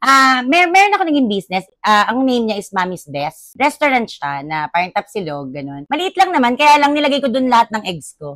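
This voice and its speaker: A woman talks at a fairly quick pace in a high voice, barely pausing. Her pitch swings very widely, and the sound is dry and close with no echo. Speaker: business owner. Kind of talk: podcast interview.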